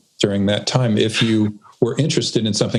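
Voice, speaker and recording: A man at a medium pitch, with noticeable background noise. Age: 60s. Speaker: expert guest on purpose. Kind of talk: interview conversation.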